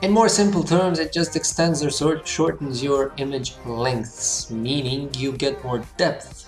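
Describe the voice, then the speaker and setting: Medium-pitched male voice with lively intonation, music playing in the background. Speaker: architecture software tutor. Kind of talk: tutorial voiceover.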